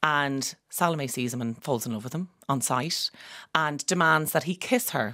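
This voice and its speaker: Recorded very cleanly with a silent background, a woman with an Irish accent has a very deep, low pitch and a bright, sharp tone. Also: ordinary pitch variation, moderate pace. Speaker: opera singer. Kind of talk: radio interview.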